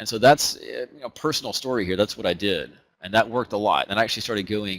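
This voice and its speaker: A man with an Alabama accent at a very fast pace, in a dry, close sound with no echo. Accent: Southern US (Alabama). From US South, Huntsville, Alabama. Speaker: trading educator. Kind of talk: webinar presentation. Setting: online webinar. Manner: casual, conversational with fillers.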